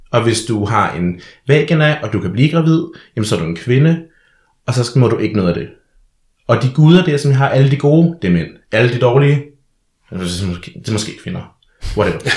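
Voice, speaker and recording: The somewhat breathy voice moves at a fairly quick pace with very wide pitch swings and long, frequent pauses. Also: man, medium pitch for a man. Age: 20s. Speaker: drag performer and social science student. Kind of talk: casual chat. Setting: studio.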